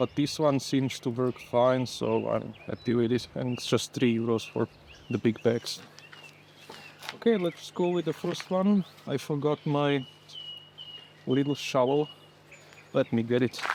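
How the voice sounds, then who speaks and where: The speech moves at a fairly slow pace with long, frequent pauses and ordinary pitch variation. Noticeable background noise sits behind it. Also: man, medium pitch for a man. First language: not English. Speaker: home gardener. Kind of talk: casual gardening vlog narration. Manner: halting.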